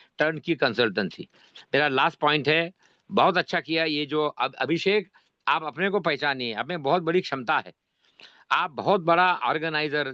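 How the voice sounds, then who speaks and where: Here a man talks with a fairly high pitch, ordinary pitch variation and a bright, sharp tone. The sound is dry and close with no echo, over a quiet background. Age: 80s+. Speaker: cooperative movement elder / speaker at meeting. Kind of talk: speech at online meeting. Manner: animated.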